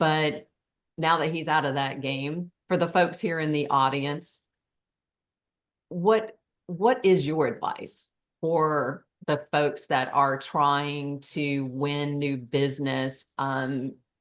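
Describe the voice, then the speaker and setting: A woman's very deep, low voice in a rural Southern US accent, very slow, with ordinary pitch variation. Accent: Southern rural pronunciation of realtor. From Tennessee, US South. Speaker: forum host. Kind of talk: panel discussion.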